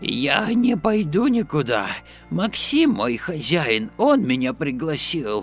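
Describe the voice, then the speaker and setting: A put-on character voice in very wide pitch swings at a fairly slow pace, with clear music in the background. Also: man, fairly high pitch for a man. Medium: audio drama. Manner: friendly, confident.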